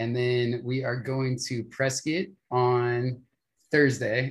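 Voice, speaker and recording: A man with an American accent and a medium pitch talks in a somewhat breathy voice. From Las Vegas, Nevada. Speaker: keyboardist and podcaster. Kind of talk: casual chat. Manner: animated.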